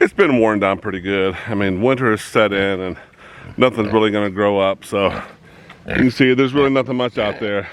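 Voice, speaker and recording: A man at a moderate pace with ordinary pitch variation, noticeable background noise behind him. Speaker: hobby farmer vlogger. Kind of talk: casual outdoor vlog narration. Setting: outdoors on farm.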